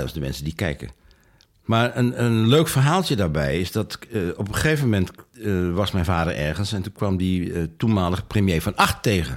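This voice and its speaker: Over a very clean recording with a silent background, a man speaks at a moderate pace with vocal fry. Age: 70s. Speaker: author and retired filmmaker. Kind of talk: interview. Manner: halting.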